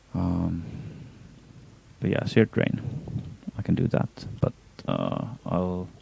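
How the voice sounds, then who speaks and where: Speaking at a fairly slow pace with a non-native accent, the man leaves long, frequent pauses. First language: not English. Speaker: gaming streamer. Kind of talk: live gameplay stream commentary. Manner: hesitant, many fillers. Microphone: poor audio quality.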